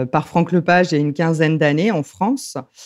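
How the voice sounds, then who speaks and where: Quiet background behind a woman's fairly low-pitched voice with a dark, mellow tone. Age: 30s. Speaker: lecturer and popular educator. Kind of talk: interview. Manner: hesitant, with many fillers.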